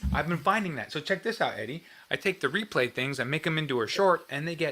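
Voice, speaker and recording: Here is a man with a plain, everyday voice. His pitch is fairly high and his intonation lively. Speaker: guitar livestream host. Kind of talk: casual livestream chat.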